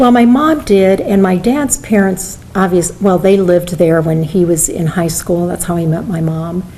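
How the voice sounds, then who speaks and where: A woman with a Midwestern American accent speaks at a moderate pace, medium pitch and ordinary pitch variation, with audible room echo and noticeable background noise. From US Midwest, rural Iowa (Benton County). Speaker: retired judge. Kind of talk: oral history interview.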